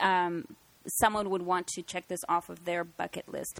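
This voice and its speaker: The speaker uses a plain, everyday voice at a fairly slow pace. Intonation stays fairly even. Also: woman, very clean recording, silent background. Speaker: paranormal investigation team director. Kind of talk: casual chat.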